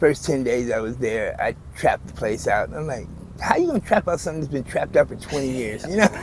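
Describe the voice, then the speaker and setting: A man rattles off his words at a very fast pace while noticeable background noise persists. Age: 60s. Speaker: homeless man. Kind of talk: street interview.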